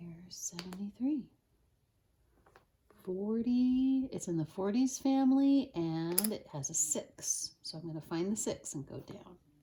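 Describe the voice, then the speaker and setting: A woman speaks fairly slowly in a somewhat breathy, dark, mellow tone. Her pitch swings very widely and her loudness rises and falls sharply. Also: medium pitch for a woman. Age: adult. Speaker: Montessori teacher. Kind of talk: tutorial.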